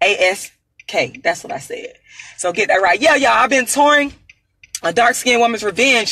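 At a fairly slow pace, a woman speaks in a high pitch with lively intonation. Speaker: activist, author and performer. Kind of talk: angry rant, boastful self-promotion. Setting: on the road, solo video. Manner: loud, defiant, emphatic.

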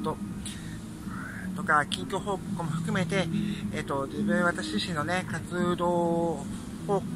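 A man's voice, dry with no echo, against loud background noise. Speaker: channel host. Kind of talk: casual vlog chat. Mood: cheerful, grateful. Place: street. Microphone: phone near.

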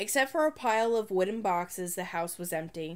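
Her pitch swings very widely. The woman keeps a moderate pace. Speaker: storytelling channel narrator. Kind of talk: ghost story read aloud from a children's horror book. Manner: measured, suspense-building narration with pauses; playful, breaks into a laugh at the punchline. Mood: spooky storytelling tone. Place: home room. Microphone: phone near.

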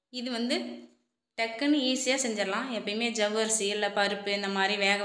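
A woman with a bright, sharp tone and ordinary pitch variation is heard with audible room echo. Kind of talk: cooking tutorial. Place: kitchen. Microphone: phone near.

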